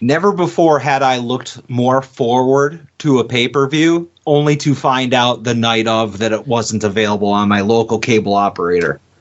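A man with a normal speaking voice talks at a moderate pace in a medium pitch, with ordinary pitch variation and very even loudness. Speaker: wrestling podcast co-host. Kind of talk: casual chat. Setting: studio.

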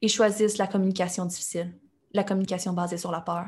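On a very clean recording with a silent background, a woman talks at a very fast pace. Her fairly low voice is somewhat breathy. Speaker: entrepreneur. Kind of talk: interview.

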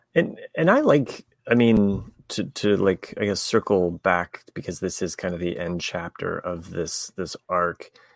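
This man's voice sits fairly low and moves with lively intonation. The recording is very clean and dry, close with no echo, over a silent background. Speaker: podcast host. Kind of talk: casual chat. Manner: halting.

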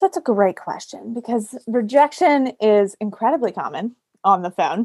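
A woman with an American accent and an ordinary speaking voice, fairly high in pitch, with lively intonation at a moderate pace, in a dry, close sound with no echo. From western Pennsylvania, near Pittsburgh. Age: 30s. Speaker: sales coach. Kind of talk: interview.

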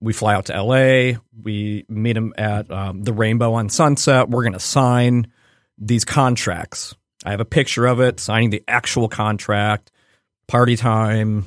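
On a very clean recording with a silent background and a dry, close sound with no echo, a man with a slight Midwestern accent speaks at a fairly slow pace, with a medium pitch and fairly even intonation. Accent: slight Midwestern American. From Cleveland, Ohio, US Midwest. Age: 40s. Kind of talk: casual interview chat. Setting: studio.

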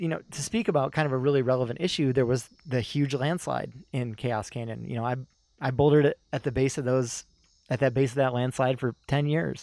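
Moderately paced and medium in pitch, a man talks in an unremarkable speaking voice. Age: 40s. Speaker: climbing guidebook author. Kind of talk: casual chat.

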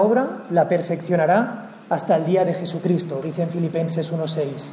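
Noticeable background noise accompanies a man speaking at a high pitch and a moderate pace. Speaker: worship leader. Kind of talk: devotional reading. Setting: church.

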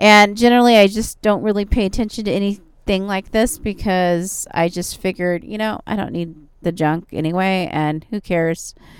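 A woman with an ordinary speaking voice talks at a moderate pace and medium pitch. Her intonation is fairly even, with hardly any pauses. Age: 40s. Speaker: podcast host. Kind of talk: casual monologue.

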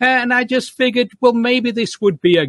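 A man with a British accent, dry and close with no echo, against a quiet background. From Manchester, England. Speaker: author and professor. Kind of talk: interview about a book.

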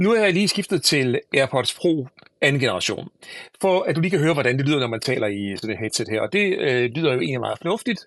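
Speaking at a very fast pace, a man makes very wide swings in pitch. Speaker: tech podcast host. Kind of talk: solo podcast product review.

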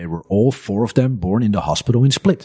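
A man speaks with a Dutch accent at a fairly quick pace. His pitch variation is ordinary. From Netherlands. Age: 30s. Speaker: business owner and entrepreneur. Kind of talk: casual interview chat. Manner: hesitant, many fillers.

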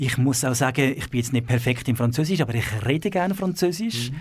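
The man's speech carries lively intonation. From Switzerland, city of Zurich. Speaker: abbot of a monastery. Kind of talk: radio interview. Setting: radio studio.

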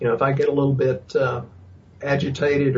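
With a Texas accent, a man speaks in a fairly high, somewhat breathy pitch with monotone, flat intonation. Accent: Texas drawl. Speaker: chiropractor and nutrition practitioner. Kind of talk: casual interview. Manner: jokey, folksy.

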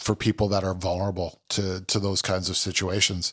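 A man with a Canadian accent and an ordinary speaking voice, fairly low in pitch, at a moderate pace, on a very clean recording with a silent background. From Ontario, Canada (Milton, near Toronto). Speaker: food truck owner, chef. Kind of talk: casual interview.

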